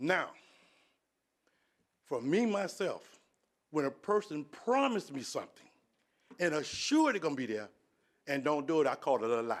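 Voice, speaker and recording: A loud man at a moderate pace, fairly high in pitch, with very wide pitch swings and long, frequent pauses. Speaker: resident speaking at public comment. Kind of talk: public comment at city meeting. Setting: city commission meeting.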